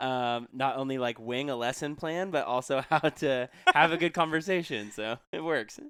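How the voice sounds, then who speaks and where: A man with a normal speaking voice, medium pitch, ordinary pitch variation, a moderate pace, hardly any pauses and a very clean recording with a silent background. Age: young. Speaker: podcast co-host, teacher. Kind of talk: casual podcast interview.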